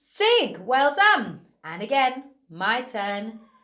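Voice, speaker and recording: Against a quiet background, an upbeat woman talks at a very slow pace, her high voice swinging very widely in pitch. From United Kingdom. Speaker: early years teacher. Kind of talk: children's phonics lesson. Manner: upbeat, encouraging; slow, clearly enunciated. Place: studio.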